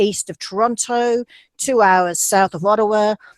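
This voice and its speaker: Recorded with a dry, close sound and no echo, a woman speaks with an Australian accent at a fairly high pitch. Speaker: university admissions representative. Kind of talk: presentation.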